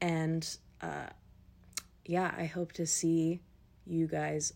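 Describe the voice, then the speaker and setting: Speaking at a very slow pace, a woman is captured in a very clean recording with a silent background. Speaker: podcast host. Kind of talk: casual monologue. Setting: at home on couch.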